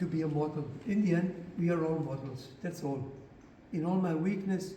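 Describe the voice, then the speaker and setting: Pitch rises and falls in an ordinary way at a middling tempo. The room echoes audibly, and background noise is noticeable. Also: man, high pitch for a man. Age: 80s+. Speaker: author and speaker on faith. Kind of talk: lecture. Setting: church parish hall with audience. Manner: halting.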